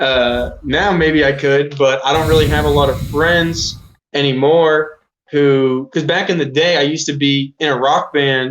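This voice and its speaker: This man has an unremarkable speaking voice with fairly high pitch. He speaks at a fairly slow pace with very even loudness. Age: 20s. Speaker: musician. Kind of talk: interview. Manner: casual, filler-heavy.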